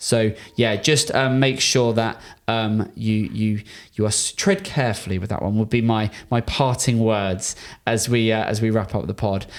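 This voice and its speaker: A man with a British accent at a medium pitch, fairly even intonation, and a very clean recording with a silent background. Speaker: podcast host, marketing agency owner. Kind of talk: business consultation podcast. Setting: in person studio. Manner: fast.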